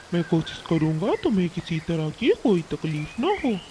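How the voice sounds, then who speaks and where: A cartoonish character voice at a middle pitch comes through over clear background noise. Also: moderate pace. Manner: blustering, sly.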